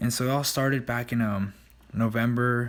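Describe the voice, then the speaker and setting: A soft-spoken man is talking. His pace is moderate. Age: 20s. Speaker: vlogger and gym owner. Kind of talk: casual vlog narration. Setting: recording at night; in a car. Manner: hesitant, many fillers.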